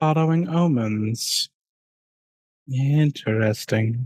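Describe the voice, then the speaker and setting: Soft-spoken and at a very slow pace, a man uses a put-on character voice at a medium pitch. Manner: soft voice.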